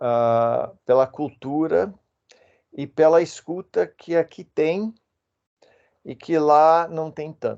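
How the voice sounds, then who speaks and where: Speaking at a very slow pace with long, frequent pauses, a man with an American accent shows ordinary pitch variation, the sound dry and close with no echo. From United States. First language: English (speaking Portuguese). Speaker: guest speaker on listening. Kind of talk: monologue talk. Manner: hesitant, many 'ah' fillers.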